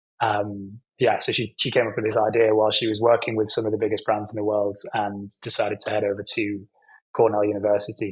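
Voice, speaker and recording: In a British accent, a man with a fairly low, somewhat breathy voice speaks very fast in a flat, monotone way. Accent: British accent, remarked by himself. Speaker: nonprofit executive in hospitality training. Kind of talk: podcast interview. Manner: conversational with frequent fillers and self-corrections.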